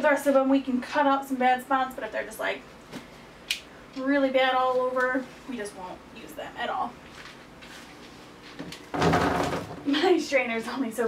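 Loud background noise sits behind a woman speaking at a moderate pace with ordinary pitch variation. She takes long, frequent pauses. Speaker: home cook vlogger. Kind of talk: casual vlog chat. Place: kitchen. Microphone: camera far.

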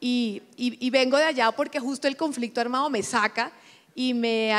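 In a Colombian coastal accent, a woman speaks at a high pitch and a moderate pace with fairly even intonation. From Colombian Caribbean coast, Montería; Colombian Caribbean coast. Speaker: corporate executive; panelist. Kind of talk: panel interview. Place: stage. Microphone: handheld.

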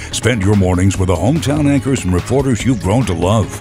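A man's voice makes very wide pitch swings with music in the background. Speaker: voice actor. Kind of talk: TV news promo read.

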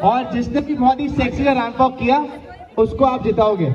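Over clear music in the background, a man talks at an extremely high pitch. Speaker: wedding emcee. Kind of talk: live event hosting, wedding games. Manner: energetic. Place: stage. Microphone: pa.

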